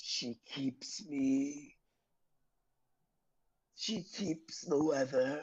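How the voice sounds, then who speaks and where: Speaking in a put-on character voice at a low-to-middle pitch, the delivery is very slow, broken by long, frequent pauses. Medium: actual play. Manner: slow, grave.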